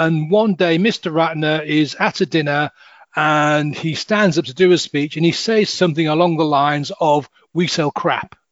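Speaking with a Hull accent, a man uses a fairly high pitch, ordinary pitch variation and a fairly slow pace. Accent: northern English, Hull. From northern England, Hull. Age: 50s. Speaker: hypnotist and life coach. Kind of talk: interview conversation.

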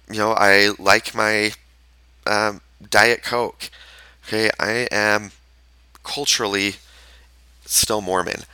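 A man with a Utah accent and a fairly low voice, bright and sharp in tone, at a very slow pace with long, frequent pauses. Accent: Utah American English. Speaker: podcast host and therapist. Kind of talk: solo podcast monologue. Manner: halting, with many fillers.

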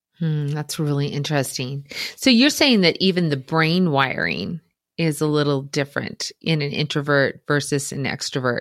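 A woman is speaking at a moderate pace. Her pitch is very deep and low. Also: ordinary pitch variation. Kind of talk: interview. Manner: loud.

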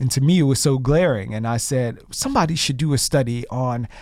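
A man with a normal speaking voice at a medium pitch, with ordinary pitch variation, on a very clean recording with a silent background. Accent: American. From Chicago. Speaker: TV correspondent and host. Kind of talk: interview.

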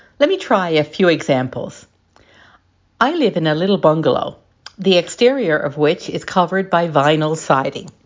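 Speaking at a moderate pace, a woman with a plain, everyday voice uses lively intonation and a fairly low pitch. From Newfoundland, Canada. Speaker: lay missionary giving gospel reflection. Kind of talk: scripted gospel reflection.

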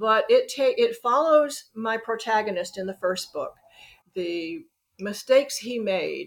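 At a fairly slow pace, a woman talks in a fairly high voice. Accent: Southern US. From US South, Birmingham, Alabama. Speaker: author. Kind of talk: interview.

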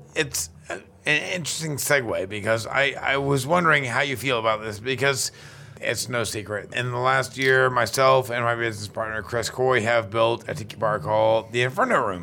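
Noticeable background noise fills the clip. The man's voice sits at a medium pitch. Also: ordinary pitch variation, moderate pace. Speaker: podcast host and bar owner. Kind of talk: casual chat. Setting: in person at a tiki event.

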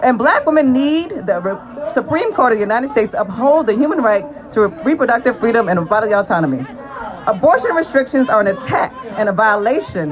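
A woman's high, animated voice at a fairly quick pace, with very wide pitch swings, audible room echo and crowd noise behind her. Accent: American. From US Deep South. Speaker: maternal health advocate, doctor. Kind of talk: rally speech.

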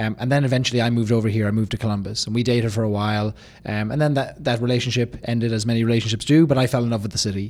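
A man with an Irish accent, very fast and with hardly any pauses, on a very clean recording with a silent background. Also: medium pitch for a man. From Ireland. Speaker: business founder. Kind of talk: interview. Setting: studio.

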